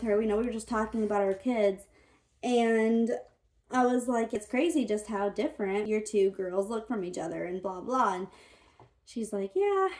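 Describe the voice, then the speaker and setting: In an unremarkable speaking voice, a woman with an American accent talks at a fairly quick pace, her pitch fairly high with ordinary pitch variation. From Florida, US. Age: 20s. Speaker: vlogger. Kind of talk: casual Q&A vlog. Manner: casual, chatty.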